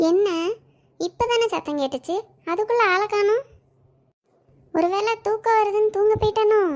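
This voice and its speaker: At a fairly slow pace, a woman performs a cartoonish character voice. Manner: loud, dramatic.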